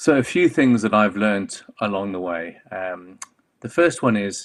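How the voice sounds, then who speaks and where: A man with a South African accent speaks at a fairly slow pace and a fairly low pitch. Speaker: clinical oncologist and medical director. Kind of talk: conference talk. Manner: hesitant, many fillers.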